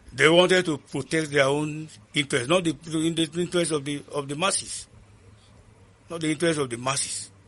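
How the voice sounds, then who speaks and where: A man speaks in a bright, sharp tone with a fairly high pitch. His pace is moderate and his intonation fairly even. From Northern Nigeria. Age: 70s. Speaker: ex soldier, author. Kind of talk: interview answer.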